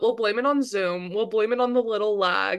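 A woman at a moderate pace, medium in pitch with ordinary pitch variation, in a normal speaking voice. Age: 20s. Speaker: student podcast co-host. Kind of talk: casual chat. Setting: video call.

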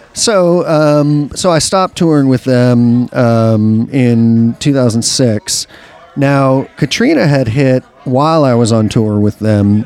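A man at a medium pitch and very slow pace, with ordinary pitch variation, very even loudness and noticeable background noise. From New Orleans. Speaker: recording engineer. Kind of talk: casual chat. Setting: bar.

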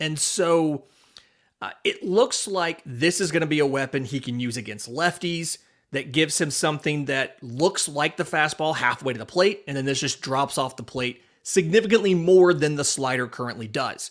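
Here a man has an ordinary speaking voice at a fairly high pitch. His pace is moderate and his pitch variation ordinary. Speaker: podcast co-host, baseball writer. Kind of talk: casual sports podcast chat.

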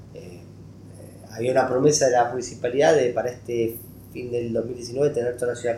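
The voice has a dark, mellow tone, somewhat breathy, at a moderate pace with fairly even intonation and big swings in loudness. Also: man. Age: 40s. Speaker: economic journalist. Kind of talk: interview.

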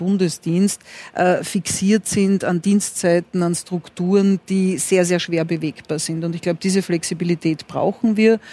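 Her fairly low-pitched voice runs at a fairly slow pace. The woman's intonation is monotone and flat. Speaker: former health minister, intensive care doctor.

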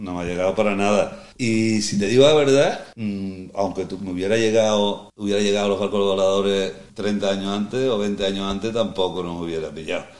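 With a plain, everyday voice, a man talks at a fairly quick pace in a fairly low pitch, leaving hardly any pauses. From Andalusia, El Puerto de Santa María (Cádiz). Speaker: veteran sailor. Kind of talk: casual interview chat. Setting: on location at a foundation in a marina.

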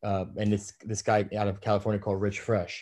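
A man with a New York accent talks at a fairly low pitch in a dark, mellow tone. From New York City, Brooklyn. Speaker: menswear brand founder. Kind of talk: casual interview.

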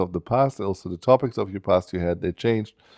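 A man with a German accent talks at a very fast pace and fairly low pitch, in a dry, close sound with no echo over a quiet background. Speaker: musician and educator. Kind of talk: interview. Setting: studio. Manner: halting.

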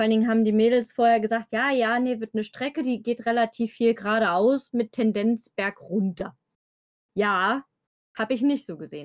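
Fairly high-pitched woman with an Eifel accent, fairly even intonation, and a moderate pace. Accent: regional Eifel accent, noticeable. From Germany, Eifel region. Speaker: bank clerk, guest. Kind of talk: casual chat.

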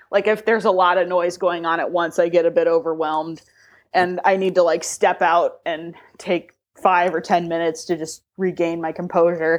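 At a moderate pace, the speaker delivers every line in a flat monotone against a quiet background. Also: woman, fairly low pitch for a woman. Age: 20s. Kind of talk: casual interview. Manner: halting, many repeated starts.

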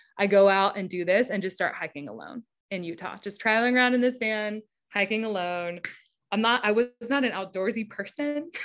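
Music can be heard behind the voice. The woman talking shows ordinary pitch variation. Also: medium pitch for a woman, fairly quick pace. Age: 30s. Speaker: advertising creative director. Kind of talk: interview.

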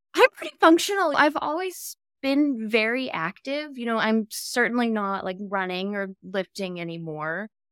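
In an American accent, a woman speaks at a moderate pace with hardly any pauses, very wide pitch swings and big shifts in loudness, recorded dry and close with no echo. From Texas. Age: 30s. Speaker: POTS patient. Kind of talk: casual interview chat.

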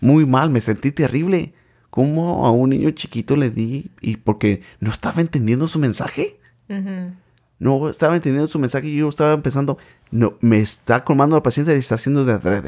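In a Mexican accent, a man speaks at a fairly quick pace with a fairly high pitch and ordinary pitch variation. His tone is dark and mellow, and the recording is very clean with a silent background. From Mexico, Michoacán. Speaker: podcast host, parent. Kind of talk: casual chat.

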